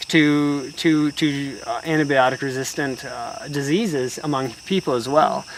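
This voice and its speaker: With noticeable background noise behind him, a man speaks fairly slowly and hardly pauses, his pitch fairly high and his intonation fairly even. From Alaska. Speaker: cyclist. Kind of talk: casual interview. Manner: halting.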